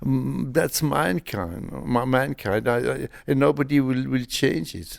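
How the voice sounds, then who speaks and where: At a very slow pace, a man at a medium pitch lets his pitch swing very widely. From Belgium, Malmedy area. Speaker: comic artist. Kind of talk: interview. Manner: halting.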